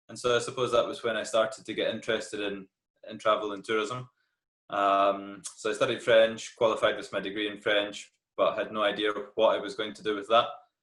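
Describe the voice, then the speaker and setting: Someone with a Scottish accent talks at a fairly quick pace. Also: man. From Scotland, Glasgow. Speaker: tour guide. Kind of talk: interview.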